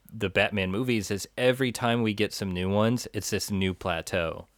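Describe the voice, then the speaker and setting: On a very clean recording with a silent background and a dry, close sound with no echo, a man has a normal speaking voice. He talks at a moderate pace with a fairly low pitch and ordinary pitch variation. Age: 30s. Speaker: movie podcast co-host. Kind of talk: casual chat.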